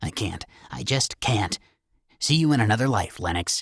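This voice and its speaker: Doing a put-on character voice, a man growls at a medium pitch with lively intonation. His pace is moderate and the sound is dry and close with no echo. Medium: read story.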